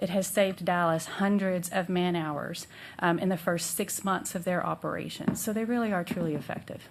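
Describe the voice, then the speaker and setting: Woman with fairly even intonation, in a room with audible echo. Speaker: mental health policy consultant. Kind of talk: presentation to city council.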